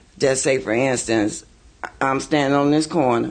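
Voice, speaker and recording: A man is talking. His pitch sits in the medium range. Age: 60s. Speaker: community elder and parent. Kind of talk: group discussion advice. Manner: animated storytelling.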